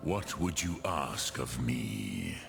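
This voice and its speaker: With clear music in the background, a man growls in a put-on character voice. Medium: video game. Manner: slow, deliberate, lofty, with dragon-tongue words.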